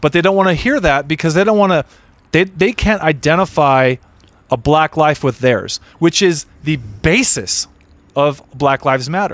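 With a normal speaking voice, a man talks at a moderate pace with fairly high pitch, lively intonation and very even loudness, in a dry, close sound with no echo. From Southern California, Redondo Beach. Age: 30s. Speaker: comedian. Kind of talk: casual chat.

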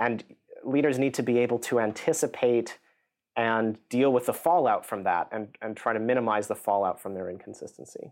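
Using a normal speaking voice with an American accent, a man talks fairly quickly at a medium pitch with ordinary pitch variation, on a very clean recording with a silent background. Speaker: psychology professor. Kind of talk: interview.

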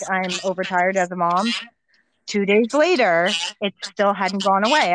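Using a normal speaking voice, a woman talks at a moderate pace and a medium pitch. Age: 30s. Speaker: doula and mother. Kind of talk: casual chat, personal birth story.

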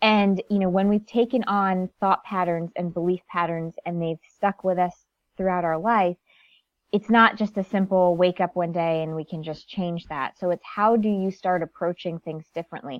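A woman with an American accent speaks in an ordinary speaking voice at medium pitch, moderate pace and with fairly even intonation. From US Northeast (Connecticut). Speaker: life coach and author. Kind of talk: interview.

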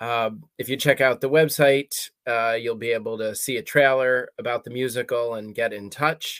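A plain, everyday voice, a man talks at a moderate pace with fairly even intonation, recorded very cleanly, dry and close with no echo and a silent background. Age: 40s. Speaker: hospice chaplain and musical writer. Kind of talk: interview.

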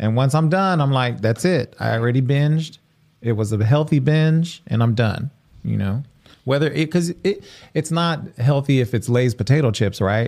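With a normal speaking voice, a man talks at medium pitch and a moderate pace with ordinary pitch variation, on a very clean recording with a silent background. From Mexican-American community, US. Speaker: podcast host. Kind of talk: casual chat. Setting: live stream studio.

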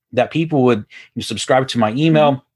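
A man with an American accent talks at a fairly quick pace with fairly even intonation. It is a very clean recording, silent background. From Houston, Texas. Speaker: business coach. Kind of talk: casual interview chat.

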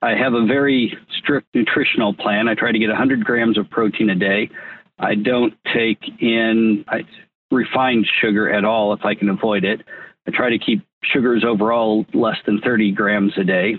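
In a normal speaking voice, the speaker talks at a moderate pace with very even loudness. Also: man, medium pitch for a man, fairly even intonation. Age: 50s. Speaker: tech entrepreneur. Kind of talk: interview.

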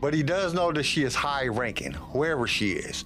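Over music in the background, a man talks with lively intonation at a fairly quick pace. The room echo is audible. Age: 40s. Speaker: podcast host. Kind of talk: casual chat.

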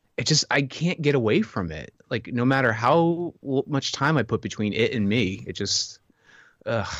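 A man's ordinary speaking voice at medium pitch, lively intonation and a moderate pace over a quiet background. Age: 30s. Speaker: podcast guest sharing weight-loss journey. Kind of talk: casual chat.

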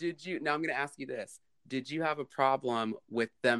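A man speaks at a moderate pace, the sound dry and close with no echo. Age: 30s. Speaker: podcast co-host. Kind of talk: casual chat.

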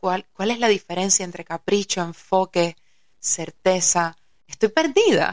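A woman with an ordinary speaking voice talks at a fairly slow pace, her medium pitch showing ordinary pitch variation, in a dry, close sound with no echo. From Cuba, Havana. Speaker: yoga teacher and musician. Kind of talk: casual chat.

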